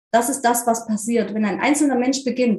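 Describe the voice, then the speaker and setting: A woman speaks at a fairly quick pace and a fairly high pitch, her voice somewhat breathy. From eastern Germany, near Leipzig. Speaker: spiritual medium and life coach. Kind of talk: interview.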